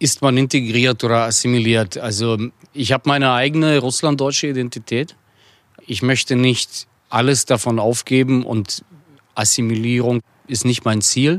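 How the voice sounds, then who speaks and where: At a moderate pace and with fairly even intonation, a plain, everyday voice sounds out on a very clean recording with a silent background. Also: man, medium pitch for a man. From Russia, Chelyabinsk; raised in Hamburg from age 10. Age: 30s. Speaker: entrepreneur and former politician. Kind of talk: interview.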